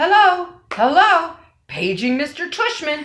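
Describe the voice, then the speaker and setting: A female-sounding put-on character voice rises to an extremely high pitch. It moves at a fairly slow pace. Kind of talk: mocking paging announcement.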